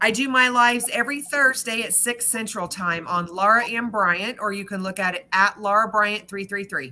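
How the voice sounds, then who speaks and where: A woman's unremarkable speaking voice at a moderate pace, with ordinary pitch variation and hardly any pauses. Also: fairly high pitch for a woman. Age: 50s. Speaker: psychic reader. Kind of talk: live-stream card reading.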